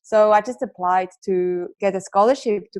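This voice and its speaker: A woman at a medium pitch, with a strong Swiss accent, ordinary pitch variation and a moderate pace. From Switzerland. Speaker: entrepreneur and author. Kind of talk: podcast interview.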